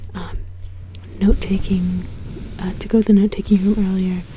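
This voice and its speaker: A woman speaks over noticeable background noise. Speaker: ASMR content creator. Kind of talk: casual talk to camera. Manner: soft-spoken, whispery.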